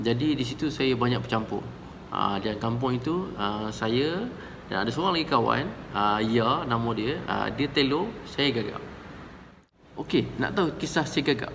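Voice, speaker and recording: A man speaks at a moderate pace with ordinary pitch variation. There's audible room echo and noticeable background noise. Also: medium pitch for a man. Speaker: counselor. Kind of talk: storytelling monologue. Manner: halting, with many fillers.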